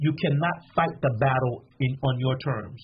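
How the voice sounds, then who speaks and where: This man's delivery has a moderate pace. He has an ordinary speaking voice. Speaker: pastor. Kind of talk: sermon-like preaching in a panel interview.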